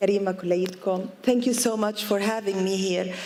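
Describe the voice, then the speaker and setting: Over noticeable background noise and audible room echo, a woman with an Arabic accent speaks at a medium pitch and a fairly slow pace in a monotone, flat intonation. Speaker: yoga teacher and businesswoman. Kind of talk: public talk. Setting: outdoor event lawn with audience. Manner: code-switching Arabic and English; hesitant with fillers.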